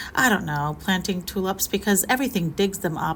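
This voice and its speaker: A woman at a medium pitch and a fairly quick pace, with noticeable background noise. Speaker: gardening vlogger. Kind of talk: casual vlog narration. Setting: outdoors in garden. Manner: casual, chatty; shouting over the weather. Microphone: no microphone, may be hard to hear.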